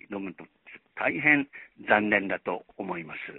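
At a fairly slow pace, a man talks. His pitch swings are very wide. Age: 80s+. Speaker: retired journalist. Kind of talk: memorial tribute. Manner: formal.

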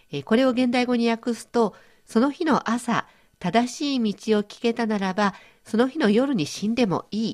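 An ordinary speaking voice at a moderate pace. Its pitch varies in an ordinary way. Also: woman, fairly high pitch for a woman. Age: 50s. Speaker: radio host. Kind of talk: educational radio talk.

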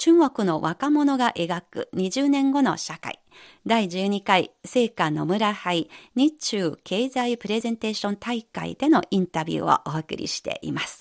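A fairly high-pitched woman speaking fairly slowly with very wide pitch swings, in a dry, close sound with no echo. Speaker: radio host. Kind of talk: radio interview program.

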